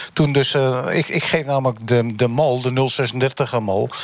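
There is noticeable background noise. Through it, a man speaks at a medium pitch. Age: 70s. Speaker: taxi driver and former shopkeeper. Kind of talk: live debate panel. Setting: on location in a bus. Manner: halting.

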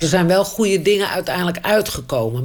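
A fairly low-pitched woman with lively intonation, amid noticeable background noise. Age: 70s. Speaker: retired steelworks employee. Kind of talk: interview testimony.

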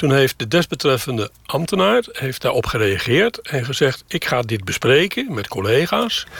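Against noticeable background noise, a man with a medium pitch speaks at a fairly slow pace with lively intonation. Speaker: retiree living in a camper. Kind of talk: interview. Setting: inside a camper.

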